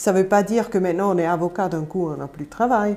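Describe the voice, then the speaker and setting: The voice has a dark, mellow tone and a slight Swiss German accent. Its intonation stays fairly even. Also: woman. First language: Swiss German (speaking French). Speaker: campaign representative. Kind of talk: live panel debate. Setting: studio.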